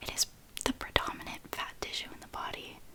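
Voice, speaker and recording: The speaker is whispering. Noticeable background noise can be heard. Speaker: anatomy student. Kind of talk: ASMR whispered study-notes reading. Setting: recording with background noise. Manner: whispered, soft-spoken.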